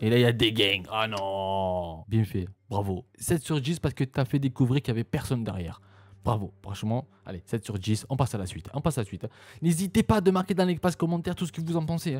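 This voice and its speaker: A man at medium pitch with very wide pitch swings and a fairly quick pace, in a dry, close sound with no echo and a very clean recording over a silent background. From southern France, Marseille. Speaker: YouTuber reacting to videos. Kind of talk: reaction video commentary. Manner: animated, exclamatory.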